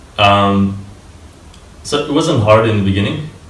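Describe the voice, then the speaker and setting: Amid audible room echo and noticeable background noise, a man with a fairly low pitch and ordinary pitch variation talks at a moderate pace. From Italy (Turin), born in Moldova. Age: 20s. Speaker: software developer, university dropout. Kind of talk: interview. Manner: hesitant, many fillers.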